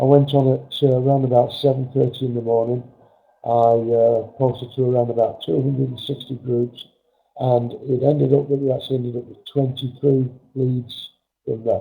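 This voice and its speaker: A man talks at a moderate pace with an English accent. His intonation is monotone and flat. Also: medium pitch for a man. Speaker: network marketing trainer. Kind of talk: webinar training presentation. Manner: halting with many fillers.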